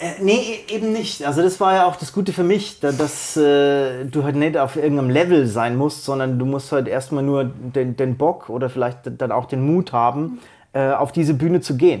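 A man speaks at a fairly high pitch and a moderate pace, with hardly any pauses and ordinary pitch variation. The background is quiet. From Bavaria, Germany. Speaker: slam poet. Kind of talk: interview answer. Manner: casual. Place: studio. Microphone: lapel.

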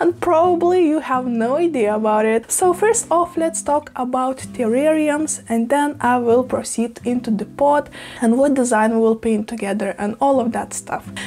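With a high pitch and a slightly mellow tone, a woman speaks at a moderate pace with ordinary pitch variation and few pauses.

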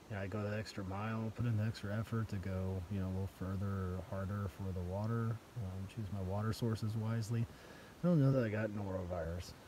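Over noticeable background noise, a man speaks fairly quickly in a fairly low pitch with fairly even intonation and a dry sound with no echo. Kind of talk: casual vlog chat. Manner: tired, sickly, subdued voice. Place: tent. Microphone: phone near.

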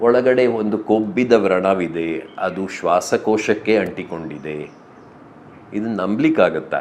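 With lively intonation, this is a plain, everyday voice. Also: man, fairly low pitch for a man. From rural Karnataka, India. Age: 50s. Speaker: architect and writer, bereaved husband. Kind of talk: interview. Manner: reflective, with many pauses.

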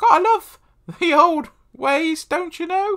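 Putting on a character voice with a British accent, a man speaks at a fairly slow pace and an extremely high pitch.

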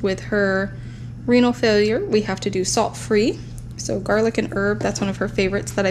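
A woman at a fairly quick pace, over noticeable background noise. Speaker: haul vlogger. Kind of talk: casual vlog chat. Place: home room.

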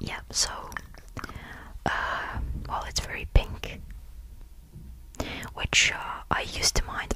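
A woman whispers at a very slow pace, with long, frequent pauses. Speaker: ASMR creator. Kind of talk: ASMR whisper show and tell. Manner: whispered, close-up, relaxing; casual, chatty, hesitant with fillers. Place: home room. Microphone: studio mic.

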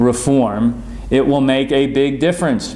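The voice belongs to a man. He talks rather slowly. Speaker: politician sending a video message. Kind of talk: address to supporters. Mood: earnest, encouraging. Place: office.

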